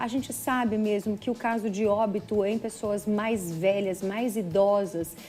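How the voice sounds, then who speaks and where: A woman's voice sits fairly high in pitch. Background music accompanies her. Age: 40s. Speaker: TV presenter. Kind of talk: live TV health interview.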